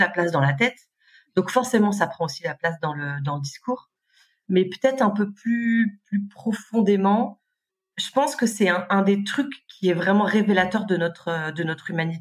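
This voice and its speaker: Somewhat breathy, a woman of medium pitch speaks at a moderate pace. Her intonation is lively. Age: 40s. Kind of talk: casual chat.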